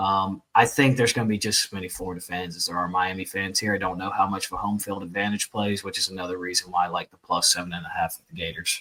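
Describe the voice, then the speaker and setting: A man talks at a very fast pace with hardly any pauses, in a fairly low pitch. His intonation stays fairly even while his loudness swings widely. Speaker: sports podcast host. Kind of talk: casual sports chat.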